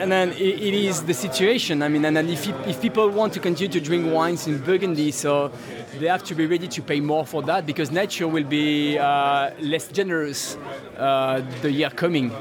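Someone speaks at a moderate pace with a French accent. Noticeable background noise is present. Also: man, fairly high pitch for a man, ordinary pitch variation. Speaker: Burgundy winemaker. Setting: noisy tasting event interview.

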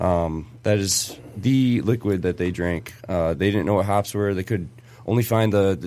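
A man with a Michigan accent speaks in a fairly low pitch at a moderate pace. His pitch varies in an ordinary way. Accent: general American, Michigan.

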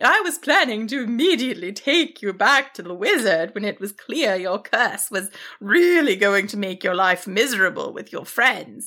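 A woman does a put-on character voice at medium pitch, with a bright, sharp tone and big pitch swings. She moves at a moderate pace, broken by long, frequent pauses.

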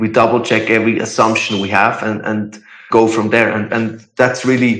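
Audible room echo surrounds a man speaking in a medium pitch at a moderate pace with monotone, flat intonation. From Switzerland. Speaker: startup founder. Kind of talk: interview. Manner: halting.

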